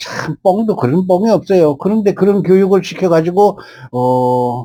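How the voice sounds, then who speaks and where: A man with a dark, mellow tone talks fairly slowly, his pitch varying in an ordinary way. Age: 70s. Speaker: painter and YouTuber. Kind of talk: film review monologue. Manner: casual with many fillers.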